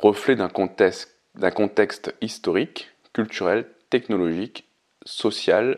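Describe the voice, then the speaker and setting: Long, frequent pauses mark a man's fairly slow delivery. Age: 30s. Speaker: podcast host. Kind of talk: solo podcast monologue. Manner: reads prepared text.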